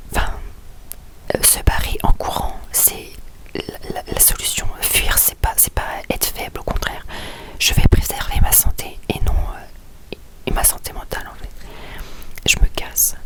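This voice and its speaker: A woman whispers over noticeable background noise, her loudness swinging widely and her words broken by long, frequent pauses. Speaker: vlogger. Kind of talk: personal vlog confession. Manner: quiet, speaking softly; hesitant, many fillers.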